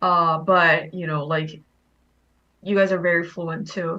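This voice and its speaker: A woman's medium-pitched voice, bright and sharp in tone, with a Korean accent. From Korean, raised in Thailand. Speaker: game participant sharing her background. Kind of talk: casual group chat.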